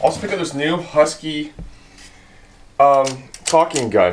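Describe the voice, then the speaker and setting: A man talks with ordinary pitch variation, and noticeable background noise can be heard throughout. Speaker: automotive and DIY YouTuber. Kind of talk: casual vlog tool talk. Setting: home workshop. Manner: fast; casual, filler-heavy.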